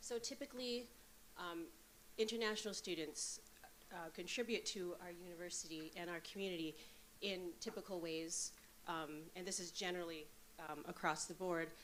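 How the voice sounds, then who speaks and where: A woman's fairly low voice with long, frequent pauses and audible room echo. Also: ordinary pitch variation, moderate pace. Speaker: associate professor. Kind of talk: conference presentation. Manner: loud.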